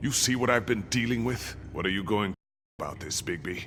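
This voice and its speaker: A man's growling, put-on character voice at medium pitch, moving at a fairly quick pace. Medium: video game. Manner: smug, sneering.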